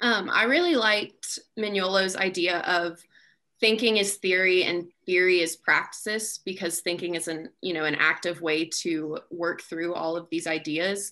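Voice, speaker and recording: Against a quiet background, a woman with a bright, sharp tone speaks at a fairly slow pace with fairly even intonation. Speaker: student participant. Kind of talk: group discussion. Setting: video call. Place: home room. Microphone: video call.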